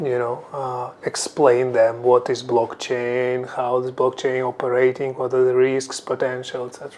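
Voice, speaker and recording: A man with a non-native accent talks at a moderate pace with hardly any pauses, medium pitch and monotone, flat intonation, his loudness swinging widely amid noticeable background noise. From Ukraine. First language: Ukrainian or Russian. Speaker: crypto executive. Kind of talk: interview. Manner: hesitant, with fillers.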